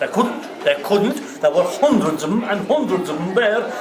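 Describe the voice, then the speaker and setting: A man speaks at a moderate pace in a high voice with very wide pitch swings. Noticeable background noise sits behind him. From Ireland. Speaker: traditional Irish storyteller. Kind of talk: live storytelling to a pub audience. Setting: pub, live audience.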